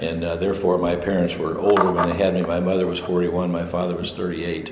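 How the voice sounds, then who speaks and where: In a US Midwestern accent, the voice stays monotone and flat, with noticeable background noise and audible room echo. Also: man. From Illinois, US Midwest (Carrollton). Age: 60s. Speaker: retired school administrator. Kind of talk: oral history interview. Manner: conversational with frequent fillers.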